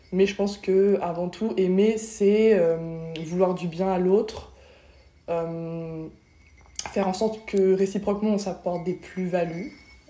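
A woman speaks very slowly in a flat, monotone delivery. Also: medium pitch for a woman. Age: 20s. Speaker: podcast guest. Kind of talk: casual chat.

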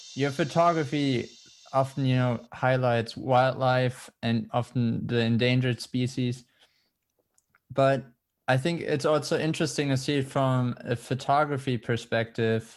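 A fairly slow voice with a German accent, very even loudness and fairly even intonation, on a very clean recording with a silent background. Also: man, medium pitch for a man. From Germany. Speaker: podcast host, student. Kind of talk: casual interview conversation.

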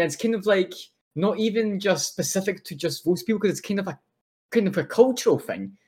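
A voice with a Scottish accent speaks at a fairly quick pace with ordinary pitch variation. The recording is very clean, with a silent background. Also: man. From Scotland, born in Poland. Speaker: podcast co-host. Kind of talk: casual chat.

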